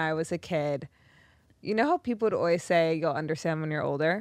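A woman's fairly low-pitched voice with ordinary pitch variation, against a quiet background. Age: 20s. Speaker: podcast host. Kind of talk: casual chat.

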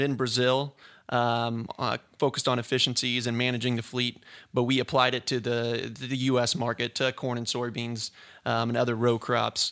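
In a very clean recording with a silent background, a man with an American accent speaks at a medium pitch and a moderate pace, his intonation monotone and flat. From rural Indiana, US Midwest. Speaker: agricultural technology sales manager. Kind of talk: podcast interview. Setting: studio. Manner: frequent fillers, hesitant.

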